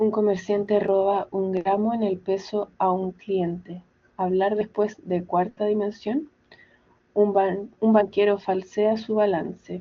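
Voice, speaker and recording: Speaking at a very slow pace, a woman keeps a medium pitch and a monotone, flat intonation. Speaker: student. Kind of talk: reading aloud.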